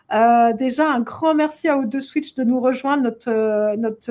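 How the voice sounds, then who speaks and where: A woman sounds animated at a high pitch, with ordinary pitch variation. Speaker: event organizer hosting a live show. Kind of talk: casual live stream chat. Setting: online live stream. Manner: animated, many hesitations.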